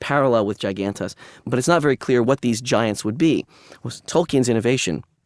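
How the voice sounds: A natural reading voice, pitch shifting by the usual amount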